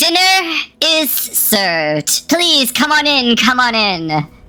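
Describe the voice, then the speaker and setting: Very slowly, a female-sounding put-on character voice speaks at a high pitch with very wide pitch swings. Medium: actual play. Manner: very proper, formal.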